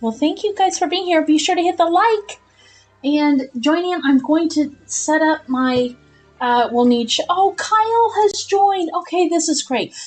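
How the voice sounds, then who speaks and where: A woman's extremely high voice with lively intonation at a fairly slow pace, music in the background. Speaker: gaming live streamer. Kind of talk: live gameplay stream chat. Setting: live stream. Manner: casual, chatty.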